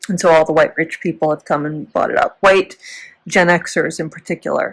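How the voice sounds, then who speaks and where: With an American accent, a woman speaks at a moderate pace and fairly low pitch in monotone, flat intonation. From US Midwest, Chicago area. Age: 40s. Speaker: former teacher, vlogger. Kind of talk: casual vlog storytelling. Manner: rambling, tangential.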